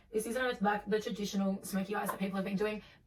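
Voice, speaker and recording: Amid noticeable background noise, a woman talks at a very fast pace in a medium pitch, her intonation monotone and flat. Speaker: beauty vlogger. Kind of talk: makeup tutorial talk to camera. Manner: chatty, casual, many fillers.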